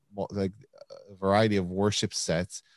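In a normal speaking voice, a man with an American accent talks at a fairly quick pace and fairly low pitch, the sound dry and close with no echo on a very clean recording with a silent background. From US, Korean American family. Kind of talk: casual interview.

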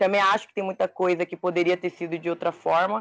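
In a plain, everyday voice, the speaker moves at a fairly quick pace, with a dry, close sound with no echo over a quiet background. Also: woman. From São Paulo city. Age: 20s. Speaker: podcast co-host. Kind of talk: casual chat.

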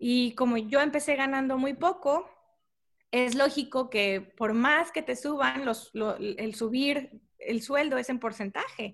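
Very slowly, a woman speaks at a high pitch. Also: ordinary pitch variation. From Tamaulipas, Mexico (Mante). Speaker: civil engineer. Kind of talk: interview.

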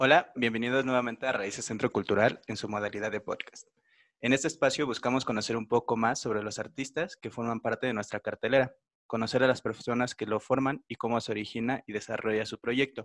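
With an ordinary speaking voice, a man talks at a medium pitch and fairly even intonation, the sound dry and close with no echo. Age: 20s. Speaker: podcast host. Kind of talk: interview.

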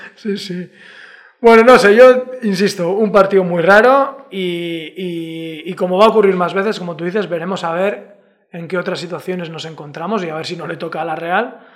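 Speaking at a moderate pace, a man with a high pitch uses ordinary pitch variation, and his loudness swings widely. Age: 40s. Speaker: podcast host. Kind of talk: casual chat.

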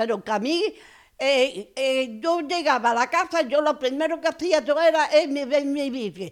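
Recorded very cleanly against a silent background, a woman talks at a moderate pace with a high pitch and lively intonation. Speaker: honored brotherhood member. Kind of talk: interview, personal reminiscence. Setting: at her home.

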